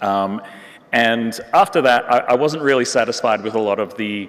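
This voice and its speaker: A man speaks with an Australian accent over noticeable background noise. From Western Australia, Perth. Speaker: neurorehabilitation researcher and physiotherapist. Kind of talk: conference talk. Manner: many fillers, hesitant.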